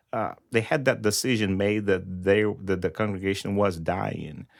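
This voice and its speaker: The recording is very clean, with a silent background. A man speaks at a moderate pace with a Brazilian Portuguese accent. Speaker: pastor. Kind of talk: interview.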